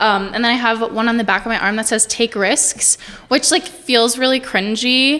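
Noticeable background noise sits behind a woman speaking at a moderate pace and fairly high pitch, with ordinary pitch variation. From eastern New Mexico (Portales). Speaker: wedding videographer. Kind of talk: casual chat.

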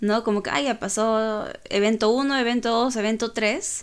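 A woman with a fairly high pitch talks at a fairly slow pace. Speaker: podcast co-host. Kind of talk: casual chat. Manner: calm.

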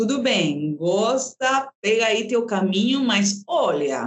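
With a Peruvian accent, a woman speaks at a fairly high pitch that swings very widely. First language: Spanish (speaking Portuguese). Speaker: actress and storyteller. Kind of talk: interview.

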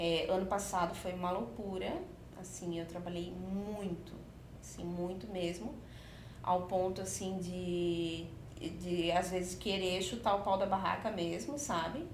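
With ordinary pitch variation, a woman talks amid noticeable background noise and audible room echo. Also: medium pitch for a woman, fairly slow pace. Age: 30s. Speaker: confectioner and entrepreneur. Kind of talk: podcast interview.

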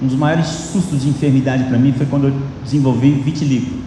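A man speaks at a fairly quick pace in a medium pitch. Audible room echo and noticeable background noise surround the recording. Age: 50s. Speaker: pastor. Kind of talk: sermon.

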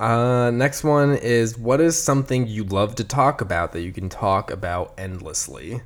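A normal speaking voice runs at a moderate pace with lively intonation and hardly any pauses. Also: man, medium pitch for a man. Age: 20s. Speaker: podcast co-host. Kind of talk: casual chat.

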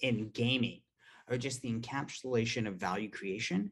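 Here a man speaks with an American accent. His pitch is medium, with ordinary variation. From US West Coast, Palo Alto. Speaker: startup founder. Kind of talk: casual chat.

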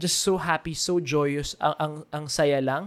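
A man is speaking. His pace is moderate. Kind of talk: casual chat, Taglish faith talk. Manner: enthusiastic.

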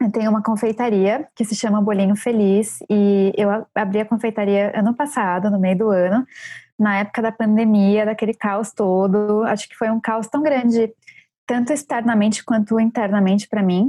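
Music plays in the background. The speech moves at a moderate pace with fairly even intonation and a dry, close sound without echo. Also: woman. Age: 30s. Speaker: book editor and baker. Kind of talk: casual chat.

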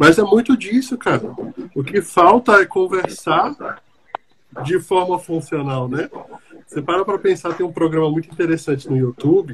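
Noticeable background noise under a man with a high pitch, lively intonation and a moderate pace. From Brazil, Brasília. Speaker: podcast host, psychologist. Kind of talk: casual discussion.

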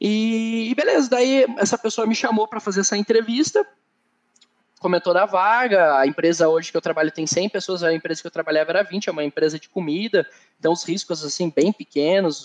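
With a high voice and lively intonation, a man speaks at a moderate pace, his loudness swinging a lot, in a dry, close sound with no echo. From southern Brazil, Curitiba. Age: 20s. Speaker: workplace safety technician and quality manager. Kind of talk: interview.

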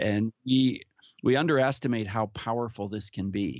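A man with an ordinary speaking voice talks at medium pitch with fairly even intonation. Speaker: podcast guest, musician and speaker. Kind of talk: casual interview, personal story.

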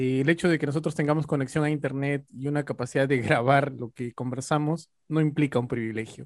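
A man's fairly high voice at a fairly quick pace, hardly any pauses and fairly even intonation. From Peru, Ayacucho highlands. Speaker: sociologist. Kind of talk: casual chat.

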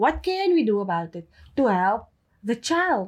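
A woman at a moderate pace, her fairly high pitch making very wide swings. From Cape Town, South Africa. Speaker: guest. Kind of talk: casual chat.

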